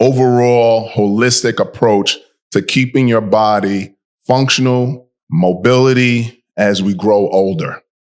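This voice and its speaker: With a New York accent, a man speaks at a very slow pace. His pitch is medium, with ordinary variation. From New York City (Bronx). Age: 60s. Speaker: fitness podcast host. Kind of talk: casual podcast chat.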